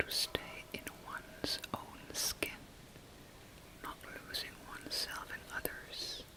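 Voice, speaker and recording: Whispering in a calm tone at a very slow pace, a woman leaves long, frequent pauses over noticeable background noise. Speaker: ASMR life coach. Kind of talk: coaching session delivered in ASMR style. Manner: whispering, soft-spoken, calm.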